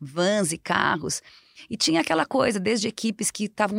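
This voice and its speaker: A woman with a normal speaking voice talks at a moderate pace and medium pitch with ordinary pitch variation, the sound dry and close with no echo on a very clean recording with a silent background. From southern Brazil, Rio Grande do Sul. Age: 50s. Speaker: marathon runner and sports marketing specialist. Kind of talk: casual interview.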